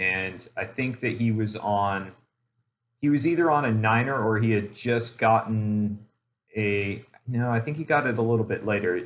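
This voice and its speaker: A man speaks at a moderate pace with an unremarkable speaking voice. His pitch is medium, with ordinary pitch variation. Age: 40s. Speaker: mountain biker, show member. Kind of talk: casual chat.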